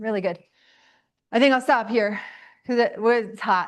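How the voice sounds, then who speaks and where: An animated woman speaks at a fairly high pitch. Audible room echo is present. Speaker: teacher. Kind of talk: lecture. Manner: loud.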